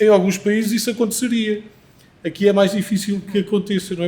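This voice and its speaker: A man speaks at a high pitch. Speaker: panel guest. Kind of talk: panel discussion. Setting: live recording before audience. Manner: halting.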